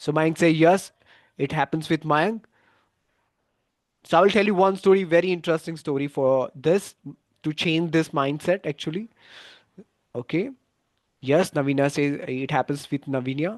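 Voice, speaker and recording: A man with a Gujarati accent speaks at a moderate pace in a fairly high pitch, with ordinary pitch variation and long, frequent pauses. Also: dry, close sound with no echo. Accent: Indian English (Gujarati). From India, Gujarat. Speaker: English exam coach. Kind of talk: live online class. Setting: YouTube livestream. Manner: halting, with fillers and restarts.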